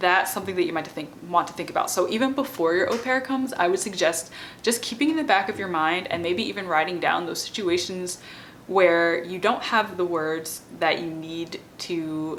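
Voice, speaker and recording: A woman with a fairly low pitch is heard with audible room echo and noticeable background noise. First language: not French; French is her non-native language. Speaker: bilingual parenting educator and PhD student. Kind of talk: informal educational talk to camera. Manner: conversational with many fillers (um, like).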